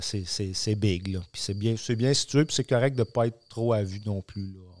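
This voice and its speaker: A man speaks in a normal speaking voice, fairly slow and fairly low in pitch, with fairly even intonation. The recording is very clean, with a silent background and a dry, close sound with no echo. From Quebec, Centre-du-Québec (dairy farm near Warwick). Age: 40s. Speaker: agronomy sales rep for seed company. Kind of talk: casual interview.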